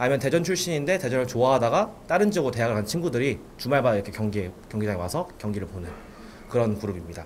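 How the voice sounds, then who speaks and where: The pace is very fast. A man at medium pitch swings his pitch very widely. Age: 20s. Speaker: football supporter group leader. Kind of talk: radio interview.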